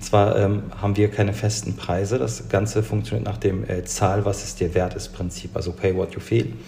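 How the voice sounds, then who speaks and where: A man talks at a moderate pace with a fairly low pitch. Noticeable background noise sits behind him. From Bielefeld, Germany. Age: 30s. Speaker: food-rescue nonprofit founder. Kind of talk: interview. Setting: remote recording. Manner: hesitant, many fillers.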